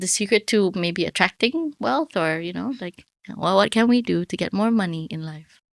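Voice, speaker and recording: In a very clean recording with a silent background, a woman with an unremarkable speaking voice and medium pitch talks at a moderate pace, her intonation lively and her loudness swinging widely. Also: dry, close sound with no echo. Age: 30s. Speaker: podcast host. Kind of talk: interview.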